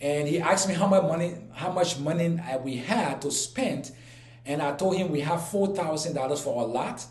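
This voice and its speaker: At a moderate pace and with ordinary pitch variation, a man with a Liberian accent speaks amid audible room echo and noticeable background noise. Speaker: YouTuber. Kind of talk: personal storytelling vlog. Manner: halting, many fillers and repeats.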